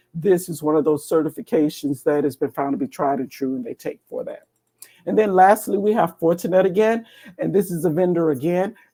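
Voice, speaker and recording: Fairly low in pitch, a woman speaks with a dark, mellow tone and lively intonation. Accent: American. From US South, Atlanta, Georgia. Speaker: cybersecurity education program director. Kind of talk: webinar presentation walking through slides. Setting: live online stream.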